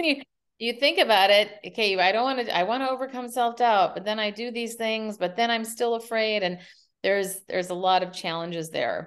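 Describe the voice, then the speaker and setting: In a normal speaking voice, a woman with an American accent talks at a fairly quick pace, her fairly high pitch showing ordinary variation. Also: quiet background. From US Midwest, Minneapolis. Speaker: keynote speaker and communication coach. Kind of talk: interview.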